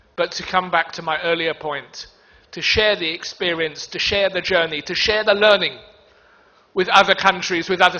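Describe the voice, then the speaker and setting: A man speaks with a British accent at a high pitch. He keeps a moderate pace and fairly even intonation. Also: big swings in loudness. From United Kingdom. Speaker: diplomat giving a conference speech. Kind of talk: conference speech. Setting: stage in a packed conference hall. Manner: hesitant, with many ums.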